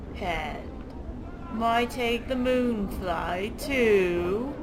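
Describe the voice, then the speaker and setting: A woman's put-on, growling character voice, fairly high-pitched, over loud background noise. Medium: game stream. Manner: cryptic rhyming babble.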